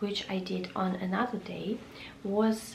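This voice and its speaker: Someone speaks at a very slow pace with a non-native accent. Noticeable background noise and audible room echo are present. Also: woman. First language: Russian. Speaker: lifestyle vlogger. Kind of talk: casual vlog talk. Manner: halting with many fillers.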